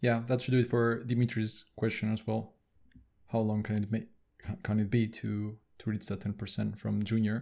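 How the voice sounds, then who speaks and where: With a dark, mellow tone and fairly even intonation, a man of medium pitch speaks at a moderate pace with long, frequent pauses in a very clean recording against a silent background. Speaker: podcast co-host. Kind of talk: casual livestream discussion. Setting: live stream on video.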